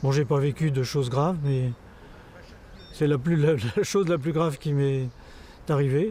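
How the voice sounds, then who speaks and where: A man with a fairly high pitch and a dark, mellow, somewhat breathy tone speaks at a fairly slow pace with very even loudness, ordinary pitch variation, and long, frequent pauses. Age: 70s. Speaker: sports photographer living with Parkinson's. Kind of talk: testimony. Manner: halting, many hesitations.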